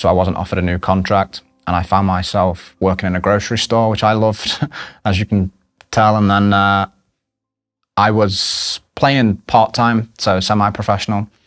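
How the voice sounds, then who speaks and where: The delivery is monotone and flat at a moderate pace, with a dry, close sound with no echo and very even loudness. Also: man. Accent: English. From England. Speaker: soccer coach. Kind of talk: testimony. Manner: halting, with fillers.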